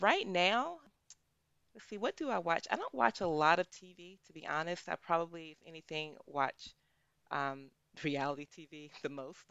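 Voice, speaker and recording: Using a plain, everyday voice, a woman with a fairly low pitch speaks at a moderate pace with ordinary pitch variation. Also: big swings in loudness. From US, small rural town. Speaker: pharmaceutical research executive and epidemiologist. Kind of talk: casual interview.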